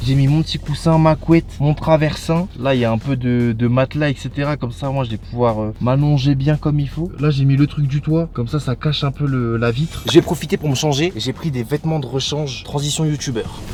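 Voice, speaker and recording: A man's fairly high voice at a fairly quick pace, fairly even in intonation, with music in the background. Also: hardly any pauses. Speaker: YouTuber. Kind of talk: vlog. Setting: in a car. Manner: casual.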